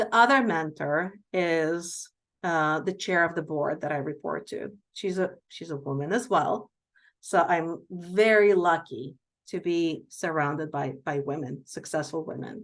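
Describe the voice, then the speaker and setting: A woman with a non-native accent speaks at a fairly low pitch and a fairly slow pace, with ordinary pitch variation. The background is quiet. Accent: foreign accent, milder than before. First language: not English. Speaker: healthcare executive and physician. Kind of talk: Q&A talk.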